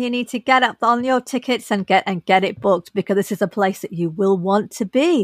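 A woman talks at a fairly quick pace in a plain, everyday voice with ordinary pitch variation and hardly any pauses. The sound is dry and close with no echo. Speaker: podcast co-host interviewer. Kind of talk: casual interview chat.

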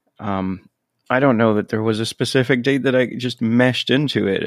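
On a very clean recording with a silent background, a man speaks in an ordinary speaking voice with ordinary pitch variation. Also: dry, close sound with no echo.

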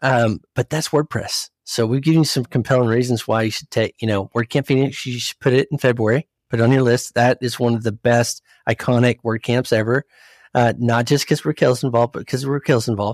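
Heard dry and close with no echo, a man at medium pitch talks at a fairly quick pace with fairly even intonation in a normal speaking voice. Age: 40s. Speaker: CEO of a professional network. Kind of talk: casual chat.

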